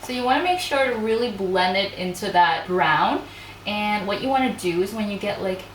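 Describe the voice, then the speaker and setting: A woman talks at a moderate pace with a fairly high pitch and lively intonation. Noticeable background noise and audible room echo are present. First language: not English. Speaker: beauty youtuber, makeup artist. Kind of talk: casual chat; makeup tutorial. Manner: casual, chatty.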